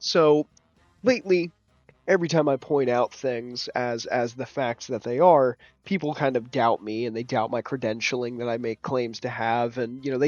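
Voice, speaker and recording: Quietly, a man speaks at a moderate pace in a medium pitch. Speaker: gaming YouTuber and IT security worker. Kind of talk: casual vlog commentary. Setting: at home late at night. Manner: quiet, keeping voice down; halting with fillers.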